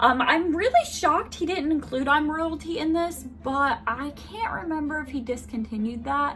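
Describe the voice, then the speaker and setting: This loud, animated voice keeps a moderate pace with hardly any pauses and ordinary pitch variation, over noticeable background noise. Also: woman, high pitch for a woman. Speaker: beauty vlogger. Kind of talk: product review with swatches.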